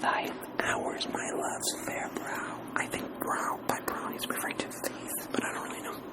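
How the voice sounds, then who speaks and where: Whispering against noticeable background noise. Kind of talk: ASMR reading and discussion of poetry. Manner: casual, conversational.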